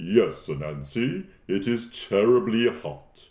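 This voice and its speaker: Using a put-on character voice at medium pitch, a man speaks fairly slowly with very wide pitch swings. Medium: read story.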